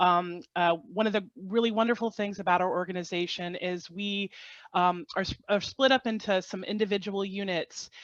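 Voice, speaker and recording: A woman with an American accent speaks in a normal speaking voice at medium pitch and a moderate pace, with fairly even intonation. The sound is dry and close with no echo, and the background is quiet. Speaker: government agency field operations official. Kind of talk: webinar presentation.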